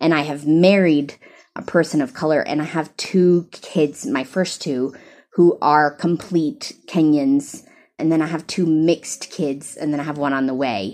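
With an American accent, a woman speaks at a fairly slow pace. Her pitch is very deep and low, with ordinary pitch variation. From US South. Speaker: therapist and training director. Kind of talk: interview conversation. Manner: animated, talkative.

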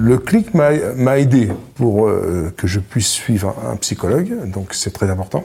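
With lively intonation, a man at a medium pitch speaks at a very slow pace. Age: 60s. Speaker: retired family caregiver. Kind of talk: testimony. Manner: halting, repeats words.

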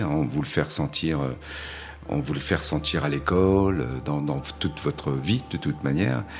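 A man is speaking. His pace is fairly slow. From Paris suburbs, France. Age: 50s. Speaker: gallery owner and photographer's agent. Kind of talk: testimony. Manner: halting, with frequent repetitions and hesitations.

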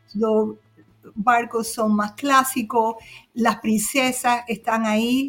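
A woman's fairly high, somewhat breathy voice moves with fairly even intonation. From Cuba. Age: 60s. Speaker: cruise travel agent. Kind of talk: casual chat.

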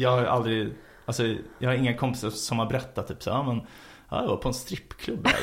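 Here a man talks at a fairly quick pace and medium pitch. His voice is somewhat breathy, with monotone, flat intonation. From Sweden, Stockholm. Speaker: podcast co-host. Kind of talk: casual chat. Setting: studio, in person.

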